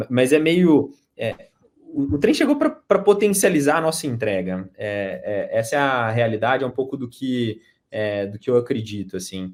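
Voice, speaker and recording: Speaking with a Minas Gerais accent, a man at medium pitch moves at a moderate pace. His pitch swings very widely, and the recording is very clean with a silent background. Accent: mineiro. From Minas Gerais, Brazil. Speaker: marketing executive. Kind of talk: panel discussion. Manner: halting, many fillers.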